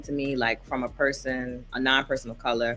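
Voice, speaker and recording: With music in the background, a woman with an American accent speaks at a moderate pace in a very deep, low pitch. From Virginia Beach / Harlem. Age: 30s. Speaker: prison worker, interviewee. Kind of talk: interview testimony. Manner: casual, filler-heavy.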